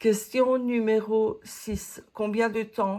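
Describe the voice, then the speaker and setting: The recording is very clean, its background silent. A woman talks throughout. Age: 60s. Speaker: coloring hobby YouTuber. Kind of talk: casual Q&A monologue. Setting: home office. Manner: hesitant, many fillers.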